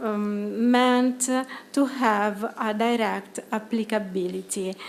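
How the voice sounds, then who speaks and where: A woman speaks with an Italian accent. Her pace is very slow. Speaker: psychologist and project lead presenting at conference. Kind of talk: conference presentation. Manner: hesitant, many fillers.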